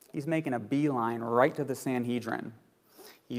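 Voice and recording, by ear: The text is read aloud in a natural voice.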